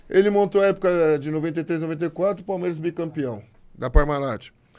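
A man talks with a normal speaking voice and ordinary pitch variation. The background is quiet. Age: 50s. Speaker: former footballer. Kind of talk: interview.

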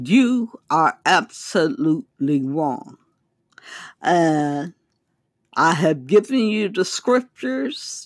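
This woman's fairly low voice swings very widely in pitch as she talks at a very slow pace. The sound is dry and close, with no echo. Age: 60s. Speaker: self-published author and religious podcaster. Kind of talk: religious teaching monologue. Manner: halting.

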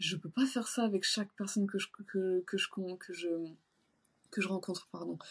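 A woman speaks in a somewhat breathy voice at a moderate pace, with ordinary pitch variation. Long, frequent pauses break up her speech against a quiet background. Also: medium pitch for a woman. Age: 30s. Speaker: shoe designer and bodybuilding competitor. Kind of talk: casual interview. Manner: hesitant, many fillers.

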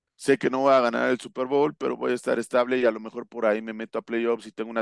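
Very fast and monotone, a man speaks at medium pitch with flat intonation, in a dry, close sound with no echo over a quiet background. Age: 40s. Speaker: American football coach. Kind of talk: casual interview analysis. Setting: video call. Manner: hesitant with fillers and repetitions.

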